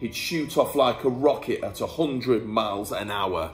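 Lively intonation carries the words. It is an unforced reading voice.

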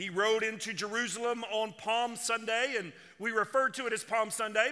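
Against a quiet background, a man uses a raised, projected voice at a moderate pace. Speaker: senior pastor. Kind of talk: sermon. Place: church. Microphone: headset.

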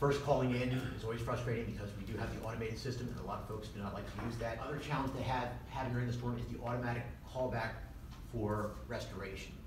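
A man speaks at a very fast pace. Audible room echo and noticeable background noise fill the recording. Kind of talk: public briefing statement. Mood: explanatory, somewhat defensive. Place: meeting room.

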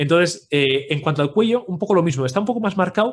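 A man's somewhat breathy speech moves fairly quickly, with lively intonation. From Spain, Pamplona (Navarre). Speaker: 3D character sculptor. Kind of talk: livestream tutorial. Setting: live video stream.

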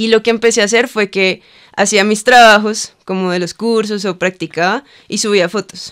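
Over a quiet background, a woman speaks at a moderate pace with fairly even intonation. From Cali, Colombia; Colombia. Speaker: lettering artist and muralist; podcast guest. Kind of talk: casual interview chat. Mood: relaxed, reflective. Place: studio. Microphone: studio mic.

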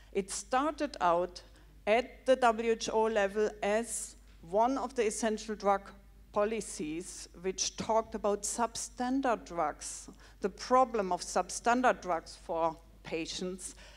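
A woman speaks at a very slow pace with vocal fry. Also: ordinary pitch variation. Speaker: public health researcher; audience member commenting. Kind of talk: audience question. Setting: stage with audience. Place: hall. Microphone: handheld.

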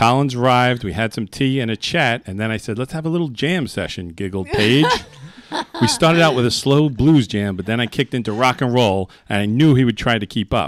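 At a fairly quick pace, a man speaks with ordinary pitch variation in a dry sound with no echo. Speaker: radio host. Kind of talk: casual chat. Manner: jokey, laughs often. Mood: jovial, comic storytelling. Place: studio. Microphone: studio mic.

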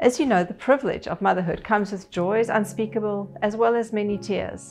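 The speaker talks at a fairly quick pace over faint music in the background. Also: woman. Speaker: pastor. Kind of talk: sermon. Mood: warm, calm. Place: home room.

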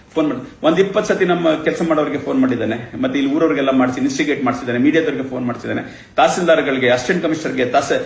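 A man with a fairly high pitch, noticeable background noise and audible room echo. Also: ordinary pitch variation. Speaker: senior government official. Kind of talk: press statement.

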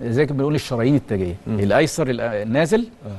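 His pitch swings very widely. The man keeps up a fairly quick pace. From Egypt. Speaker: cardiology professor. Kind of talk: TV interview. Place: studio. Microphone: lapel.

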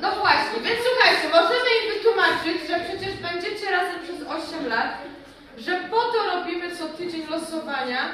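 A woman uses a raised, projected voice. Strong room echo and light background noise surround her. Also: moderate pace, big swings in loudness. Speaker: teacher. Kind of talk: classroom instruction to children. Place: classroom. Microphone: camera far.

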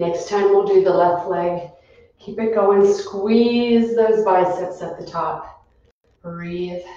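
Speaking at a very slow pace with fairly even intonation, a woman's loudness swings widely amid strong room echo and light background noise. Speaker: fitness instructor. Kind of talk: live-streamed exercise class, giving clear cues and counting down reps. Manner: brisk, instructional, rhythmic cueing. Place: gym. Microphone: camera far.

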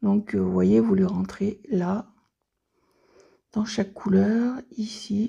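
Slowly and with fairly even intonation, a woman speaks in a dark, mellow tone marked by vocal fry and a husky, rough edge. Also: medium pitch for a woman.

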